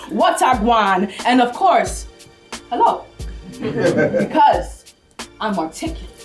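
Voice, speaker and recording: Music plays in the background as a woman speaks. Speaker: spoken word poet. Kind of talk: spoken word poetry performance.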